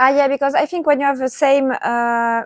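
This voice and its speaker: A woman with a French accent speaks at a fairly slow pace. Her intonation is fairly even, and the sound is dry and close with no echo. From southern France. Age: 20s. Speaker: traveler. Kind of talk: casual chat. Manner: halting.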